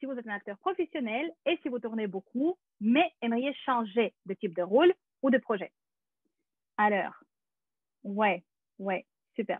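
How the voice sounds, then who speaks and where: A woman talks at a very slow pace. Her fairly high voice rises and falls in a lively way. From Russia. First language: Russian (speaking French). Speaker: actress and acting teacher. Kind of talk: webinar presentation. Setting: video call. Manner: hesitant, many fillers.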